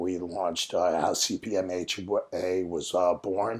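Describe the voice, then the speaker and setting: The voice belongs to a man. It sits very deep and low in pitch. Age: 50s. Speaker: podcast host sharing mental health experience. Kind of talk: personal podcast monologue. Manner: halting, with fillers; stuttering.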